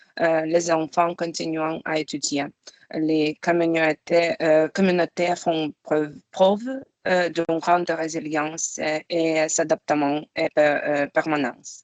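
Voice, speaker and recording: The speaker has a non-native accent and a very slow pace. Intonation stays fairly even. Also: woman, very deep, low pitch for a woman. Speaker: humanitarian program coordinator. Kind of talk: webinar presentation. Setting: video call. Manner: halting.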